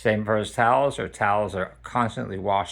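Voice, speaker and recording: Vocal fry from a man with a fairly low pitch at a moderate pace, in a very clean recording with a silent background. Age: 60s. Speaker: snake owner, pet care video maker. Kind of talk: tutorial. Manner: halting, with many fillers.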